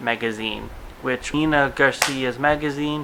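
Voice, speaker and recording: A man speaks with a Russian accent at a medium pitch and a fairly slow pace. His intonation is fairly even, with noticeable background noise. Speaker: vlogger. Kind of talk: TV episode review vlog. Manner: casual, chatty.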